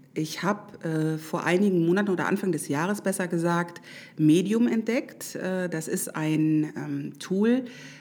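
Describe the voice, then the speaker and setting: A very slow pace with ordinary pitch variation. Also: woman. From Düsseldorf. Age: 40s. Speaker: social media expert. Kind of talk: casual interview chat. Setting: studio. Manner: hesitant, many fillers.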